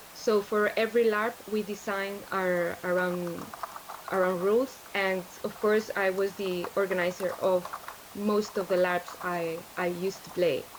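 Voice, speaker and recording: Speaking at a fairly slow pace, a woman with a Spanish accent keeps a medium pitch and a monotone, flat intonation. Noticeable background noise runs underneath. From Spain. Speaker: larp organizer and tabletop role-player. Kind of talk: interview on livestream. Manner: halting, many fillers and repeats.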